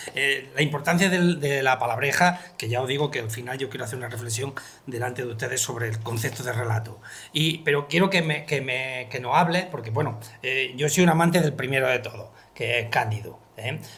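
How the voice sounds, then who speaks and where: A man speaks with ordinary pitch variation at a fairly quick pace while noticeable background noise plays behind him. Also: medium pitch for a man. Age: 70s. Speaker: book illustrator and interviewer. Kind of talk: book presentation conversation. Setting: library with audience.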